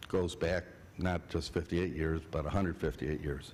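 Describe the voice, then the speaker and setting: A man is speaking. Audible room echo is present. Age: 60s. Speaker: civil engineer and land planner presenting to council. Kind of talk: public presentation at city council meeting. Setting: city council meeting. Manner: halting, with fillers.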